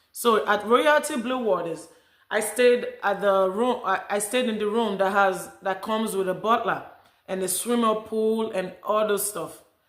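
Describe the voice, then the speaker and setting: A woman with a Nigerian accent speaks at a fairly slow pace and a fairly high pitch, with fairly even intonation. There is audible room echo. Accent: Nigerian accent, still noticeable. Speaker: vlogger. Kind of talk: casual vlog talk.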